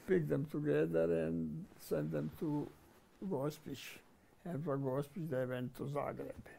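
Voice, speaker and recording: Speaking at a fairly slow pace with a Croatian accent, a man with a medium pitch and a dark, mellow tone makes very wide pitch swings. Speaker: war veteran. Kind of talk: interview. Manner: halting.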